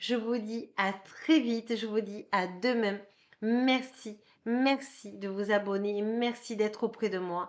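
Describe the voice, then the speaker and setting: A woman with a fairly high pitch speaks at a very slow pace and with fairly even intonation against a quiet background. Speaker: card reader and energy healer. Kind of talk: tarot card reading. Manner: hesitant, many filler sounds.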